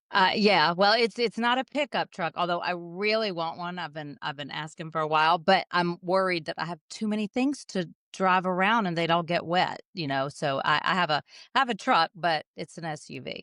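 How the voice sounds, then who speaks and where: A woman with a Southern accent speaks in a bright, sharp tone at a fairly low pitch, with ordinary pitch variation, a moderate pace and hardly any pauses, recorded dry and close with no echo over a quiet background. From US South, Jackson, Mississippi. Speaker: jazz singer. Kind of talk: casual interview.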